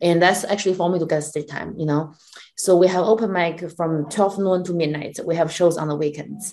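A fairly low female voice with a Chinese accent at a fairly quick pace, over noticeable background noise. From China. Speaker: comedian and comedy club owner. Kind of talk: casual interview. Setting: video call. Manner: animated.

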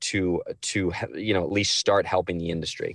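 In an unremarkable speaking voice with an American accent, someone talks at a fairly quick pace, the sound dry and close with no echo over a quiet background. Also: man. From New Jersey. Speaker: chef and restaurant owner. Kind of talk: casual chat.

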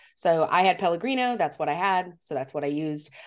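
A woman with an American accent has a plain, everyday voice, a fairly low pitch, and ordinary pitch variation. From Montana. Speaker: podcast co-host, drink presenter. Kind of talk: casual chat.

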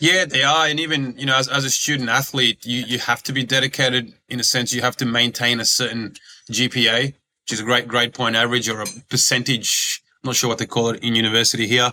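A man speaks fairly quickly with an Australian accent, his pitch medium. His tone is bright and sharp, and his intonation stays fairly even. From Australia (Sydney), born in Croatia. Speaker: former pro basketballer, recruitment business owner. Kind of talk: interview.

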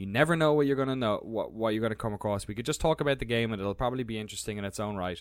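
A man with an Irish accent and medium pitch talks at a very fast pace with hardly any pauses, on a very clean recording with a silent background. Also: ordinary pitch variation. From Ireland. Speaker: video game journalist and documentary maker. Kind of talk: casual chat.

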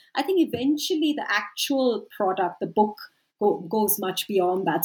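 With ordinary pitch variation, a woman speaks at a medium pitch in a somewhat breathy voice. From India. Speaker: sociology professor and author. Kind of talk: academic interview.

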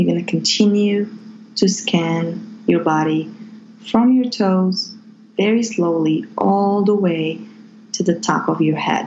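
A woman at medium pitch speaks very slowly, with long, frequent pauses and ordinary pitch variation. Noticeable background noise is present. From Morocco. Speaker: Reiki healer. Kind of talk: guided meditation.

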